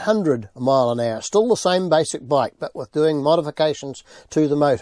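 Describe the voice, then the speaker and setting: A man's fairly high voice with a New Zealand accent and a dark, mellow tone, at a moderate pace, dry and close with no echo, on a very clean recording with a silent background. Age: 70s. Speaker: interviewee, family friend of racer. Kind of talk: interview.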